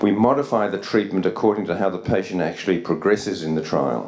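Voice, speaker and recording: Audible room echo surrounds a man with a fairly low pitch and an Australian accent. Noticeable background noise runs under his voice. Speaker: psychiatry researcher. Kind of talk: conference lecture. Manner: fast.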